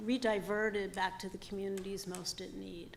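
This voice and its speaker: Noticeable noise fills the background. The speaker keeps a moderate pace. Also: woman. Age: 60s. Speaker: former parole board commissioner. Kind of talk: testimony. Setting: public hearing.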